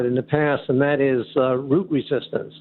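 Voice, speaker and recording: A man with an American accent has an unremarkable speaking voice, pitched fairly high. He speaks at a moderate pace with fairly even intonation. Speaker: caller. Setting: phone call.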